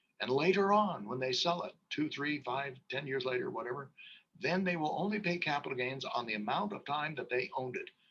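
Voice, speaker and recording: A man's fairly high voice at a fairly quick pace, with very wide pitch swings. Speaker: 1031 exchange specialist. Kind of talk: webinar presentation. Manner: fast.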